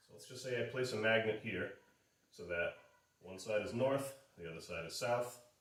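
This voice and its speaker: Male speech with ordinary pitch variation, big swings in loudness and long, frequent pauses, in a room with audible echo. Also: medium pitch for a man, moderate pace. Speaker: automotive instructor. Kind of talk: lecture. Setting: garage. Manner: halting.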